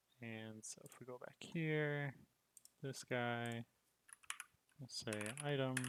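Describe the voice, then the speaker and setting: A quiet, mumbling man at medium pitch, with fairly even intonation, a very slow pace and long, frequent pauses. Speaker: game developer streamer. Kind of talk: live coding stream. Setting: livestream.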